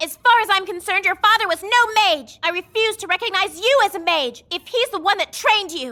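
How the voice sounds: A woman's cartoonish character voice, extremely high and bright, sharp in tone, with lively intonation at a moderate pace.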